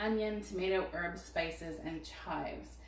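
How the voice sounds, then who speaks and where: Amid noticeable background noise and audible room echo, a woman speaks at a medium pitch and a fairly slow pace, with ordinary pitch variation. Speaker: cooking product consultant. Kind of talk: product demo on live stream.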